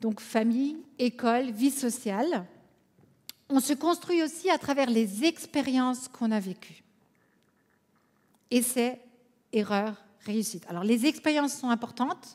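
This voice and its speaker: Very slowly and with long, frequent pauses, a woman with an Alsatian accent speaks at a high pitch with ordinary pitch variation. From France, Alsace. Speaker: conference speaker, coach. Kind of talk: conference talk.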